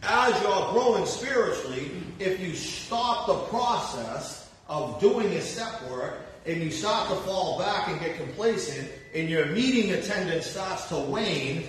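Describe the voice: A man's high voice with lively intonation, at a fairly slow pace with few pauses, in strong room echo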